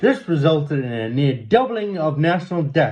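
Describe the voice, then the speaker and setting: A man with a South African accent speaks with very wide pitch swings. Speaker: amateur news reader. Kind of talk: reading aloud. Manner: halting, with repeated words and self-corrections.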